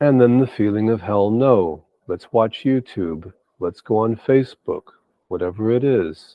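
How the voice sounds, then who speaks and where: A man's ordinary speaking voice at medium pitch, with ordinary pitch variation and a fairly slow pace. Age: 60s. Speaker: meditation facilitator. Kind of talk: guided meditation. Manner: soft-spoken.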